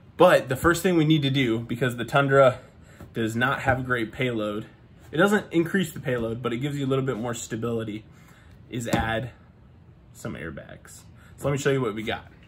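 The voice is somewhat breathy, with light background noise. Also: man, ordinary pitch variation, fairly quick pace. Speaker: truck vlogger. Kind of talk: casual vlog chat. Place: garage. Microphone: phone near.

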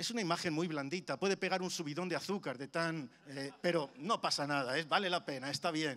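A man with a fairly high, bright, sharp voice talks at a fairly quick pace with ordinary pitch variation and hardly any pauses. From Spain, Madrid (Carabanchel); Madrid, Spain. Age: 50s. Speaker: preacher. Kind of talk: sermon. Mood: warm, humorous, engaging. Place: church. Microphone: handheld.

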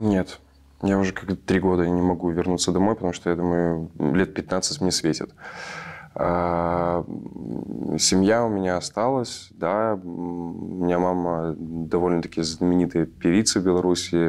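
A man's very deep, low voice with fairly even intonation, over a quiet background. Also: fairly slow pace. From Belarus. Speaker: actor; theatre actor. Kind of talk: panel discussion. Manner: halting. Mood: earnest, reflective. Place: stage. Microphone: lapel.

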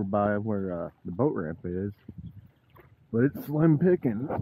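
A man speaks at a fairly slow pace with very wide pitch swings, in a dry sound with no echo and light background noise. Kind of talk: casual vlog chat. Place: waterside. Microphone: phone near.

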